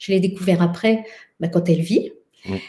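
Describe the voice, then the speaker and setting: A woman's somewhat breathy voice with a dark, mellow tone and ordinary pitch variation. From France. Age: 50s. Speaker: somatic educator and researcher. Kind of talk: casual conversation.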